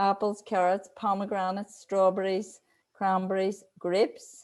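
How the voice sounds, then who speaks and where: A woman with a medium-pitched voice speaks at a very slow pace. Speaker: weight loss coach. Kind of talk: live online training. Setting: live video stream.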